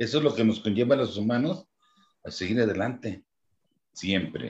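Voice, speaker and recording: A man's medium-pitched voice, somewhat breathy, with a dark, mellow tone and lively intonation. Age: 70s. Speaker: church lay minister. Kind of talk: casual chat.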